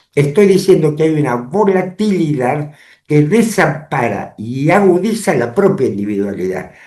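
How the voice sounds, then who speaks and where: With audible room echo, a man talks fairly slowly in a fairly high voice of dark, mellow tone, his pitch swinging very widely. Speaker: lawyer and public affairs commentator. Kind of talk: interview. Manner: formal.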